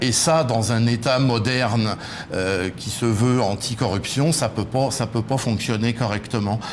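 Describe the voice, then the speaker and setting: Over noticeable background noise and audible room echo, the speaker goes at a fairly slow pace with ordinary pitch variation. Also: man. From France. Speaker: political movement leader. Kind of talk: TV interview. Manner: hesitant, many fillers.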